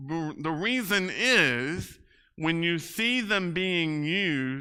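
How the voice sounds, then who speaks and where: A man speaks loudly at a fairly high pitch in a bright, sharp tone. His pitch swings very widely on a very clean recording with a silent background. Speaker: Bible class teacher. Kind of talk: Bible class lecture. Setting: church classroom with PA system. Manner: casual, halting with fillers.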